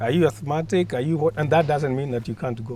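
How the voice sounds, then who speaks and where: A man's fairly high, somewhat breathy voice at a fairly quick pace. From Kenya. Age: 60s. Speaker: mountaineer and mountaineering instructor. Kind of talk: interview answer.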